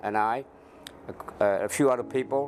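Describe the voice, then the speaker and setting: A man with a strong Cambodian accent speaks at a fairly slow pace. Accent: thick Cambodian. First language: Khmer. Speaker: former Secret Service officer, refugee survivor. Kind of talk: interview. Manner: halting.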